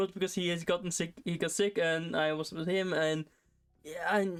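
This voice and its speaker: Over music in the background, a woman speaks at a moderate pace with a slight Norwegian accent. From Norway. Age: 20s. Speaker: streamer. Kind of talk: casual chat. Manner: halting.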